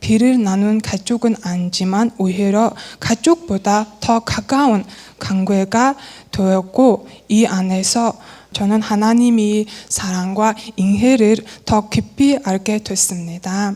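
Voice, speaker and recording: Speaking very slowly with a Mongolian accent, a woman keeps her fairly high pitch at ordinary variation and her loudness very even, with noticeable background noise behind her. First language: Mongolian (speaking Korean). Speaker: church member. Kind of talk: testimony. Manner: halting, with self-corrections.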